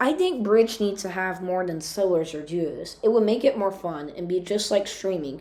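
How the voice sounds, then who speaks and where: Noticeable background noise behind a woman at medium pitch, moderate in speed, her pitch varying by an ordinary amount. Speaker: gaming YouTuber. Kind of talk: commentary voiceover. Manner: halting.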